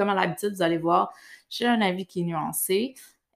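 The recording is very clean with a silent background. A woman with a Quebec accent speaks at a medium pitch with ordinary pitch variation. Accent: Québécois French. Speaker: podcast host, nutritionist. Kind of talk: solo monologue; casual interview chat.

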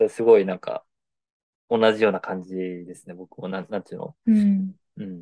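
A man keeps a moderate pace, his voice captured with a dry, close sound and no echo. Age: 20s. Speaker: podcast host. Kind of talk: casual chat.

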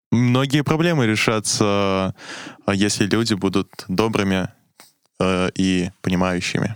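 Very slowly and at a very even loudness, a man talks in a fairly low pitch with ordinary pitch variation. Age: young. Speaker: university student. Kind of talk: casual chat. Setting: studio. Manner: hesitant, many fillers.

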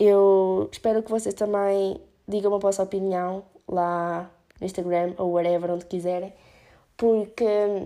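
The voice has a European Portuguese accent and a dark, mellow tone at a fairly slow pace. The recording is very clean with a silent background. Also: woman. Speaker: podcast host. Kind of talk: solo opinion podcast. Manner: casual with English fillers.

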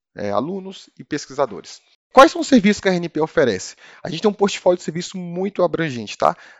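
This man, with a fairly high pitch, talks at a moderate pace and swings his pitch very widely. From Brazil, Brasília. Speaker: customer service manager. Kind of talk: interview.

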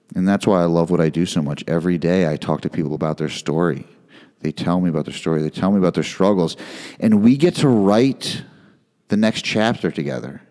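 With a very deep, low pitch and a dark, mellow tone, a man speaks at a fairly quick pace. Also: ordinary pitch variation. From US, moved around Northeast, Midwest and Texas. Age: 40s. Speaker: podcast host. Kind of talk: personal monologue.

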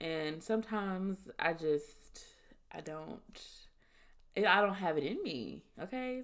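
A woman speaks at a medium pitch in an animated, bright, sharp tone. Her pitch swings very widely, her loudness shifts a lot, and she leaves long, frequent pauses. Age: 20s. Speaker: podcast host. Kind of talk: casual monologue.

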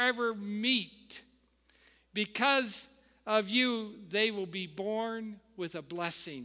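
A man's raised, projected voice, bright and sharp, at an extremely high pitch. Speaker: founding pastor. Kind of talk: warm, exhortational Sunday sermon on generational blessing. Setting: church with live congregation. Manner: call-and-response preaching, inviting amens from congregation; hesitant, stumbling with filler uhs and repeated words.

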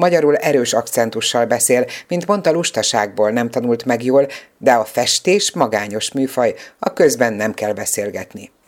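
Very deep and low for a woman, her voice moves at a fairly slow pace with ordinary pitch variation. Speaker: radio reporter. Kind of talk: interview. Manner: formal.

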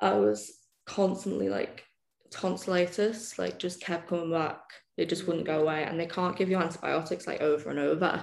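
Speaking at a moderate pace, a woman with a fairly low pitch and vocal fry uses lively intonation. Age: 20s. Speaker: prosthetic technician sharing birth story. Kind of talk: casual interview, personal story.

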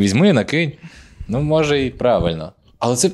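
An animated voice moves at a fairly quick pace with very wide pitch swings. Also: man. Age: 20s. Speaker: stand-up comedian, podcast co-host. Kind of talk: casual chat.

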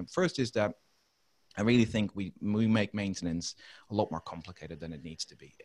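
The speech moves at a very fast pace with ordinary pitch variation. The sound is dry and close, with no echo. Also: man. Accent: Dutch. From Netherlands. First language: Dutch. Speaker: maintenance reliability consultant. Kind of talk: interview. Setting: remote call.

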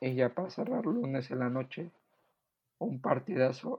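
A man with a medium pitch, somewhat breathy, speaks at a fairly slow pace with lively intonation. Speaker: NFL podcast co-host. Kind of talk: casual sports chat.

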